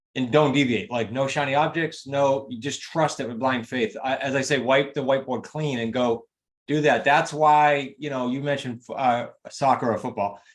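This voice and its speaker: A man with a New England accent speaks at a medium pitch. His intonation is fairly even. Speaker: real estate investing coach and author. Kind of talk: interview chat. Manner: fast.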